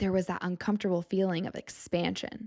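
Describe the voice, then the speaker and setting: Recorded very cleanly against a silent background, a woman with a plain, everyday voice and an American accent speaks at a medium pitch with fairly even intonation. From US Southwest, Tucson Arizona. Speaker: podcast host. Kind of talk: solo podcast monologue. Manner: casual, conversational.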